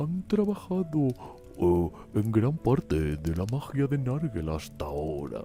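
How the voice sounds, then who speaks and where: Clear music plays behind a man doing a put-on character voice at a medium pitch. He talks fairly slowly, with very wide pitch swings. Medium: read story. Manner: casual and fussy.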